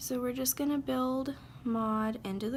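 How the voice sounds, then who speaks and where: With ordinary pitch variation, a woman speaks in a somewhat breathy voice. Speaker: beauty youtuber. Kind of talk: makeup tutorial. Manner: casual, chatty; stuttering.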